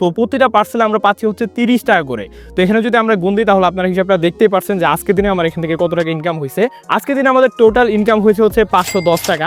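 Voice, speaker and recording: Music plays in the background as a high-pitched man speaks with ordinary pitch variation in a dry, close sound with no echo. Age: 20s. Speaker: vlogger. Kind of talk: vlog narration.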